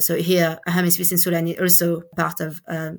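Her intonation flat and monotone, a woman with a French accent speaks at a fairly low pitch. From France, Paris. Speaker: education researcher. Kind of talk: interview. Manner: halting.

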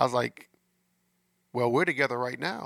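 A man talks at a fairly quick pace. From US Midwest, St. Louis, Missouri. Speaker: podcast host, relationship coach. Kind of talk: casual monologue about relationships. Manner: conversational, filler-heavy.

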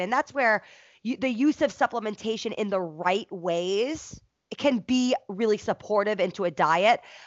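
An unremarkable speaking voice from a woman, medium in pitch, with ordinary pitch variation and a fairly slow pace. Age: 30s. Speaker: fitness professional and podcast co-host. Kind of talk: casual chat.

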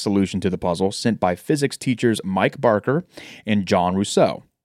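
Speaking in an unremarkable speaking voice, a man moves at a fairly quick pace with lively intonation, recorded very cleanly against a silent background. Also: dry, close sound with no echo. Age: 20s. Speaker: podcast co-host. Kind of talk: reading aloud researched notes.

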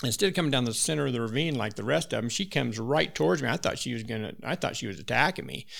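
A man with an American accent talks at a very fast pace, with hardly any pauses. His medium pitch carries vocal fry and very wide swings. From Wyoming, US. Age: 60s. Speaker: backcountry hunter. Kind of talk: casual chat with hunting stories.

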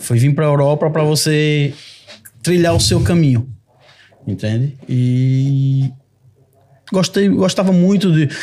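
A fairly high-pitched man with a dark, mellow, somewhat breathy tone speaks at a fairly slow pace with long, frequent pauses, lively intonation and very even loudness. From Brazil, Sergipe. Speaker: lawyer. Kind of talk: podcast conversation.

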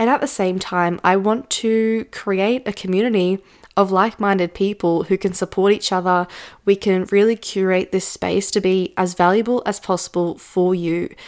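A woman with a plain, everyday voice talks at a moderate pace and medium pitch, her intonation fairly even and loudness very even, in a very clean recording with a silent background. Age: 20s. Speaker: business coach podcast host. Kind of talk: solo podcast monologue. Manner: casual, conversational.

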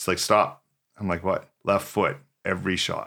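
A man with a Canadian accent, fairly low in pitch, bright and sharp in tone, at a moderate pace. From British Columbia, Canada (Port Alberni). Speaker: professional drummer and motivational speaker. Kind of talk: casual interview.

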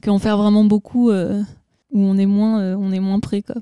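With a dark, mellow tone at a medium pitch, a woman speaks at a moderate pace in a monotone, flat delivery, the sound dry and close with no echo. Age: young. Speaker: singer in a music duo. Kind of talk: radio interview. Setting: backstage at a music festival.

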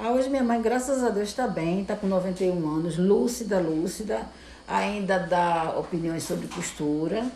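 The speech comes with a Pernambuco accent and lively intonation at a fairly slow pace. Room echo is audible. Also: woman, medium pitch for a woman. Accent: Pernambuco Brazilian Portuguese. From Brazil, Recife (Pernambuco). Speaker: seamstress. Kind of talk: interview. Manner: halting.

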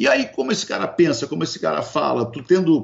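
Lively intonation marks this man's fairly quick speech. His voice is somewhat breathy. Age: 50s. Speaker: radio broadcaster and entrepreneur. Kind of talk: interview. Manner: hesitant with frequent repetitions.

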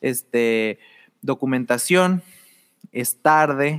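In a very clean recording with a silent background and a dry, close sound free of echo, a man with a normal speaking voice talks at a fairly high pitch with ordinary pitch variation. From Mexico, Torreón (La Laguna). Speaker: art and design student. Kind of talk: casual chat.

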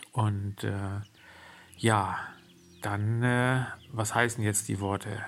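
A very slow delivery with long, frequent pauses and monotone, flat intonation. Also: man, fairly low pitch for a man. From Germany. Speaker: podcaster and horse trainer. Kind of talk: personal monologue. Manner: hesitant, many fillers.

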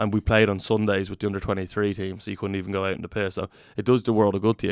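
A man with a Dublin accent speaks at a very fast pace and a fairly low pitch. His intonation is monotone and flat, on a very clean recording with a silent background. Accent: Irish (Dublin). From Ireland. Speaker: professional rugby player. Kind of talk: casual chat.

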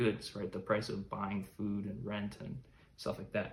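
This man speaks with vocal fry and an American accent. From US, Chicago. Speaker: podcaster, current affairs commentator. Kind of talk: solo podcast monologue. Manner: halting, many fillers.

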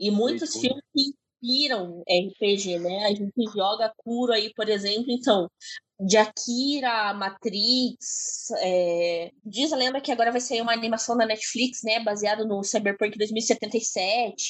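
At a very slow pace, a woman speaks at a fairly high pitch with ordinary pitch variation, in a dry, close sound with no echo. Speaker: podcast co-host. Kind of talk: casual chat.

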